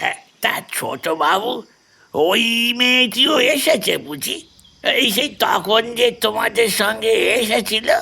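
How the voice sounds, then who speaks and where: Putting on a character voice, a man speaks in a raised, projected voice at an extremely high pitch and a fairly slow pace. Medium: audio drama. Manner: humble, deferential.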